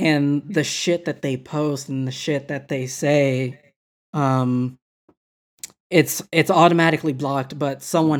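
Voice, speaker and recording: Recorded very cleanly against a silent background, a man talks at a fairly slow pace with fairly even intonation and a fairly high pitch. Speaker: wine podcast co-host. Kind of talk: casual chat.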